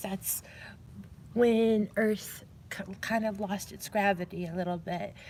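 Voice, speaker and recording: A somewhat breathy, medium-pitched woman's voice at a very slow pace. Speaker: live streamer playing a call-center role-play game. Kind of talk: live role-play call center operator, casual talk. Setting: public library.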